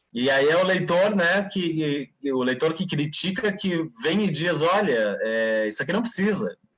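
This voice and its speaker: Hardly pausing, a man with a high voice speaks at a moderate pace, his pitch swinging very widely. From Brazil, Blumenau, Santa Catarina. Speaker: writer and poet. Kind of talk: interview.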